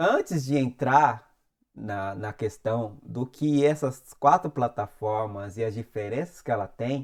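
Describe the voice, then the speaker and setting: A man speaks with lively intonation. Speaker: music industry youtuber. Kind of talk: tutorial.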